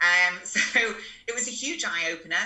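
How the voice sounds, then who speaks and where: Noticeable background noise accompanies a woman speaking at medium pitch and a moderate pace. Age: 30s. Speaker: posing coach. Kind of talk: casual interview chat.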